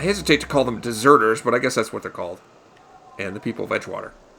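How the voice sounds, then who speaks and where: Noticeable background noise runs through the recording. A man talks with ordinary pitch variation. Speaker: gaming let's play host. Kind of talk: casual gameplay commentary.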